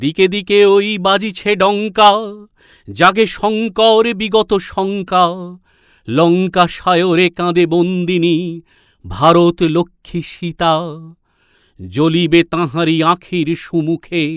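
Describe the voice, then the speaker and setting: A man speaks in a high voice with fairly even intonation. The sound is dry and close, with no echo, on a very clean recording with a silent background. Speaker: reciter. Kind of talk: poetry reading. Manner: rousing, declamatory.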